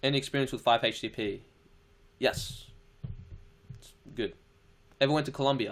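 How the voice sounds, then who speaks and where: With an Australian accent, a man talks at a fairly quick pace in an animated tone and a medium pitch, his loudness swinging widely and his speech broken by long, frequent pauses. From Australia, Chilean family. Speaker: live streamer. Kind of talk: casual live stream Q&A. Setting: live stream reading chat comments. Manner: casual, swearing, animated.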